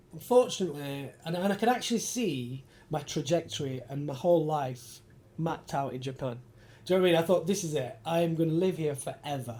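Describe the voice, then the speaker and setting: The voice has a dark, mellow tone and lively intonation. It carries a northern English accent. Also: man, fairly high pitch for a man, fairly quick pace. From Yorkshire, northern England (Bradford). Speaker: architecture photographer. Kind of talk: casual interview chat.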